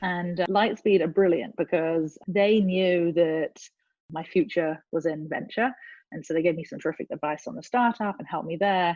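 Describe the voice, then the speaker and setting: A woman with an English accent, at a moderate pace, with ordinary pitch variation. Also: fairly low pitch for a woman, big swings in loudness. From England. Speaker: venture capital investor. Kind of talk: interview.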